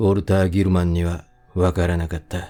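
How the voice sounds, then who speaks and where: A man's very deep, low voice, dark and mellow, with a calm, soothing tone on a very clean recording with a silent background. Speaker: audiobook reader. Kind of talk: sleep-oriented audiobook reading of a horror novel. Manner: calm, soothing, sleep-inducing.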